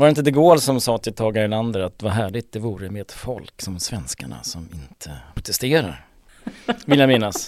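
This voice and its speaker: A man talking at a fairly quick clip, with very wide pitch swings and big shifts in loudness. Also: fairly low pitch for a man. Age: 60s. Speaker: financial journalist and author. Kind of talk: casual discussion.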